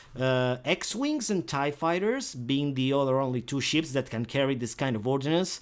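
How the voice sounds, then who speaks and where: There's a non-native accent in this man's fairly high-pitched voice. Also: ordinary pitch variation, moderate pace, hardly any pauses. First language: not English. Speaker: video gamer. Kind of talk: gameplay tutorial. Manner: halting, many fillers; casual.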